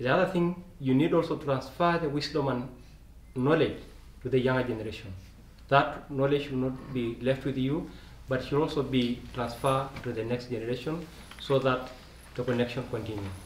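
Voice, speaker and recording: Over light background noise and audible room echo, a man talks at a moderate pace with ordinary pitch variation. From Kenya. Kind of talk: panel discussion; speech to a gathering. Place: meeting room. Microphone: camera far.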